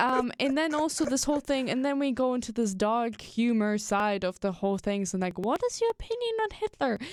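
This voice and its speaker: A woman's high, animated voice with a German accent, fairly quick and with hardly any pauses, ordinary pitch variation and very even loudness, over noticeable background noise. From Germany. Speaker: podcast host. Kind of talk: casual chat.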